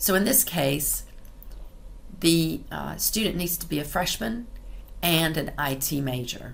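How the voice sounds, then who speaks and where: A woman speaks at a fairly low pitch with vocal fry. Her intonation is lively. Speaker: computer skills instructor. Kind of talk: software tutorial narration.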